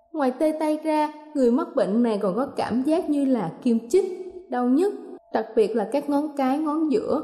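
Woman speaking at a fairly slow pace with ordinary pitch variation, music in the background. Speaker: radio presenter. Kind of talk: news reading. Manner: formal.

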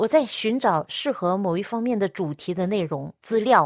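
In a dry, close sound with no echo, a woman talks with lively intonation. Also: very clean recording, silent background. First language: Cantonese (speaking Chinese). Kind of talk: radio devotional talk.

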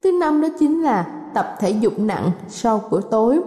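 Noticeable background noise sits behind a woman whose intonation is lively. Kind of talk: radio health talk. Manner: formal, courteous, instructive.

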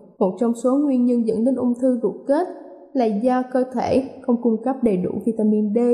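A woman talks at a fairly slow pace in a high voice with fairly even intonation. Her loudness stays very even, and background noise is noticeable. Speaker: radio presenter. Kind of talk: scripted health talk. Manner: formal.

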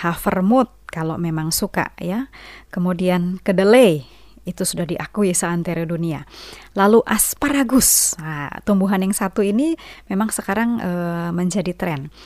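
A woman speaks at a fairly slow pace in an ordinary speaking voice, medium-pitched with ordinary pitch variation, on a very clean recording with a silent background. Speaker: radio health program presenter. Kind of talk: educational talk on health. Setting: studio. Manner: explanatory, conversational.

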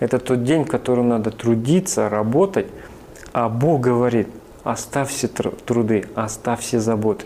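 A man's normal speaking voice at medium pitch, fairly slow in pace, with ordinary pitch variation and very even loudness. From northern Kazakhstan and Siberia. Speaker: church minister, former army officer. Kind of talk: testimony.

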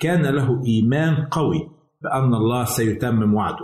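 The man's voice comes across as somewhat breathy. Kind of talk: scripted religious teaching. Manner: formal.

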